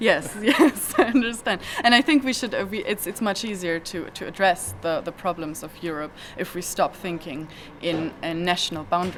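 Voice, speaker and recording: Over noticeable background noise, a woman with a German accent speaks at a medium pitch and moderate pace, with lively intonation and big swings in loudness. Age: 20s. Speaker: activist. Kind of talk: interview. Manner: halting, many repetitions.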